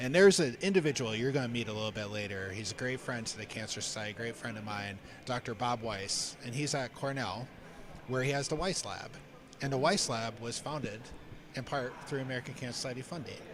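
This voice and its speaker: A man speaks with a northeastern Pennsylvania accent at a medium pitch. His pace is fairly quick, with ordinary pitch variation. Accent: Scranton. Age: 40s. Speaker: cancer charity staff member. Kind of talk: live stream fundraiser talk.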